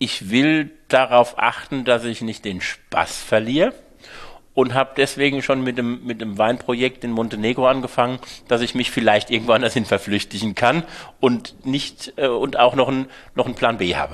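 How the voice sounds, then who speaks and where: This man has an ordinary speaking voice at a medium pitch and speaks at a moderate pace with fairly even intonation. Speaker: winemaker. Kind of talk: interview conversation.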